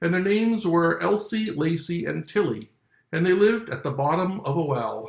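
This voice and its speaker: A man's hoarse, put-on character voice, high in pitch, with lively intonation at a moderate pace. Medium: read story. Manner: drowsy.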